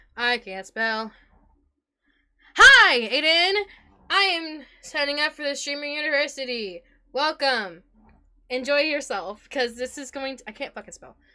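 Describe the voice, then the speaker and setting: Projecting her raised, high-pitched voice, a woman talks fairly slowly with lively intonation, big swings in loudness, and long, frequent pauses. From Puerto Rican and Italian heritage. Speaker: streamer. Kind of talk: live stream chat. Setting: live stream. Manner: energetic.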